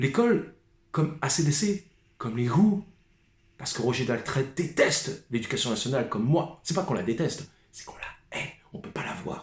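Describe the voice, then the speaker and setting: A somewhat breathy man speaks at a fairly high pitch and a moderate pace. His pitch swings very widely, and his loudness shifts a lot. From Paris suburbs, France (Seine-Saint-Denis). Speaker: musician vlogger. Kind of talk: rant monologue.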